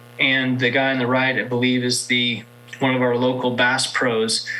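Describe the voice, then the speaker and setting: A man's medium-pitched voice, with noticeable background noise and audible room echo. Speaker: state agency marketing manager. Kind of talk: conference presentation. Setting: virtual event presentation.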